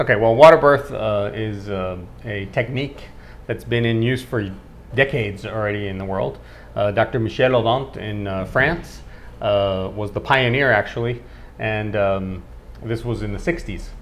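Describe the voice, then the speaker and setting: This man has a normal speaking voice at fairly low pitch. He talks at a moderate pace with ordinary pitch variation. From Costa Rica, born in New York. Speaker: obstetrician and gynecologist. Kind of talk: interview answer.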